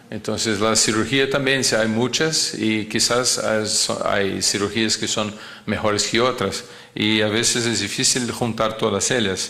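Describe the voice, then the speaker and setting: A man's medium-pitched voice with a non-native accent, very even loudness and fairly even intonation, with audible room echo and noticeable background noise. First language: not Spanish (speaking Spanish). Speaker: cardiac surgeon lecturer. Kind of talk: lecture. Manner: halting, many fillers and repetitions.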